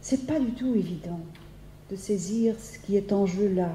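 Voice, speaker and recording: In a Dutch accent, a woman with a dark, mellow tone speaks at a very slow pace with long, frequent pauses, ordinary pitch variation and big swings in loudness, amid audible room echo. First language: Dutch (speaking French). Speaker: philosophy professor. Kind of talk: lecture. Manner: halting, many hesitations and repetitions.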